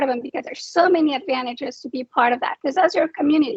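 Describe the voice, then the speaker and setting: With a Spanish accent, a woman talks at a very fast pace in a high pitch. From Mexico. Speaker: nonprofit founder, military spouse. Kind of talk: panel discussion.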